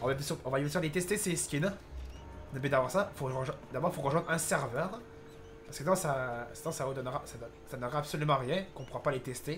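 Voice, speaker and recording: A man talks at a fairly quick pace in a fairly high pitch. His speech has long, frequent pauses, with music in the background. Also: ordinary pitch variation. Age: 20s. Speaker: gaming youtuber. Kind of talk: gameplay commentary. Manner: halting.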